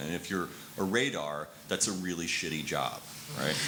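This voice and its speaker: A man speaks at a fairly quick pace in a very deep, low voice, with noticeable background noise. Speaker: former advertising worker. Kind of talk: conversational anecdote in a panel discussion.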